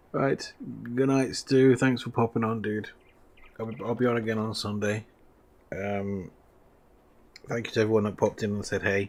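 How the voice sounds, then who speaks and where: A quiet man with an English accent talks at a moderate pace, his intonation fairly even. He leaves long, frequent pauses. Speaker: gaming streamer. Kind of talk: live stream commentary. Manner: quiet, low voice.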